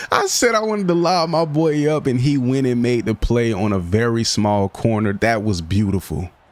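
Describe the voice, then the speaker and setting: A man at medium pitch speaks in an excited tone with very wide pitch swings and very even loudness. His pace is moderate with hardly any pauses, over noticeable background noise. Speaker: gaming commentator. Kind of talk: casual gameplay commentary.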